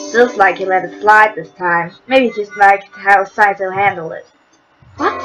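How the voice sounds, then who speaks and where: A woman's voice moves at a moderate speed, her pitch rising and falling in an ordinary way while music sounds behind her. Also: medium pitch for a woman, big swings in loudness. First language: not English. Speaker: video game let's play streamer. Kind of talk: reading game text aloud with commentary.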